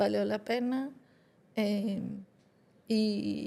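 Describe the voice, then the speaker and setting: Her voice has a dark, mellow tone at a fairly high pitch. This woman speaks with monotone, flat intonation. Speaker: podcast co-host, granddaughter. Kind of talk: podcast conversation.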